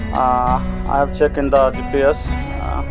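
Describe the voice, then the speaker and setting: A man is speaking. Music plays clearly in the background. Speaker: travel vlogger. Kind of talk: casual vlog chat. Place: bus. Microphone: phone near.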